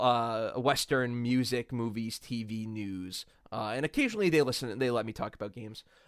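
This man has a normal speaking voice at a medium pitch and talks at a moderate pace. The sound is dry and close with no echo, on a very clean recording with a silent background. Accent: American. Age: 20s. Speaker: content creator. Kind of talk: casual chat.

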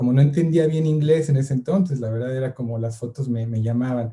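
A man's medium-pitched, somewhat breathy voice with a dark, mellow tone, a fairly quick pace and fairly even intonation. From Mexico City suburb. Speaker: photographer and filmmaker. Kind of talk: casual interview. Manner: hesitant, many fillers.

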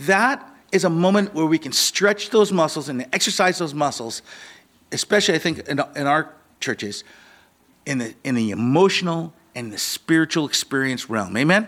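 A man with an American accent speaks at a fairly high pitch. His pitch swings very widely at a moderate pace. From US Pacific Northwest, Seattle (Ballard). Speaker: pastor. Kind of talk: sermon. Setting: church. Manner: halting.

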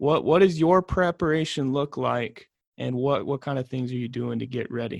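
At a moderate pace, a man talks in an unremarkable speaking voice, his medium pitch showing ordinary variation. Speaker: podcast host and journalism teacher. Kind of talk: interview. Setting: classroom.

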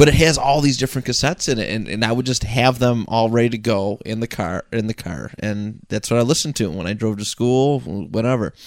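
On a very clean recording with a silent background, a man talks in a normal speaking voice at medium pitch with ordinary pitch variation. He moves at a fairly quick pace with hardly any pauses. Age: 20s. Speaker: podcaster. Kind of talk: casual chat. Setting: home podcast studio.

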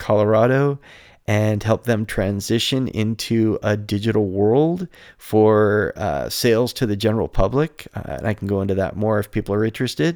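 This man has an unremarkable speaking voice, fairly low in pitch with ordinary pitch variation, at a moderate pace. The recording is very clean, with a silent background. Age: 50s. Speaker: photography podcaster. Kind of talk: solo podcast monologue. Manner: casual with frequent fillers.

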